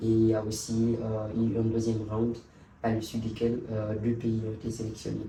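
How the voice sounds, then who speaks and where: Audible room echo and noticeable background noise fill the recording. A man speaks at a moderate pace and medium pitch with monotone, flat intonation. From Guinea. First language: Pular (speaking French). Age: young. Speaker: youth envoy. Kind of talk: interview. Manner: halting.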